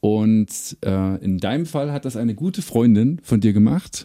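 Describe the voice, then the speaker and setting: A man's medium-pitched, dark and mellow voice with very wide pitch swings at a fairly slow pace. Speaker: music podcast host. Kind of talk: casual interview chat. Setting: home rehearsal room, basement.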